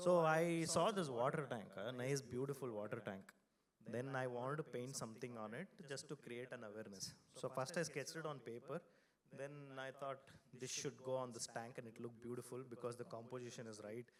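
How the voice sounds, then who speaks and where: A man's medium-pitched voice at a fairly quick pace. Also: ordinary pitch variation. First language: Kannada. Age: 40s. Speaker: designer and design studio founder. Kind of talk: conference talk. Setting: stage with audience. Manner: loud; animated.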